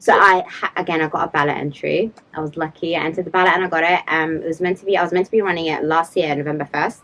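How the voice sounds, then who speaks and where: Over music in the background, a woman with a British accent and a fairly low voice talks at a very fast pace with hardly any pauses. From London, England. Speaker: public mental health practitioner and runner. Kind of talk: casual chat. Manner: animated.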